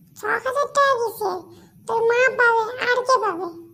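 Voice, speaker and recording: Squeaky and extremely high-pitched, a cartoonish character voice moves at a moderate pace. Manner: chatty, bossy.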